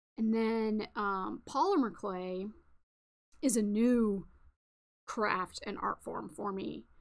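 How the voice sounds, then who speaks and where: A woman's fairly high voice in a relaxed tone, very slow and broken by long, frequent pauses, on a very clean recording with a silent background. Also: ordinary pitch variation. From New England. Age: 30s. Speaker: crafting livestreamer. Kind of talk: casual livestream chat. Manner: relaxed, filler-heavy.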